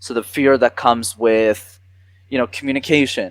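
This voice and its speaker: A man with a Canadian accent talks in a normal speaking voice at a medium pitch and moderate pace. The sound is dry and close, with no echo. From Quebec, Montreal. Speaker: communication coach. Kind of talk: interview. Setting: podcast.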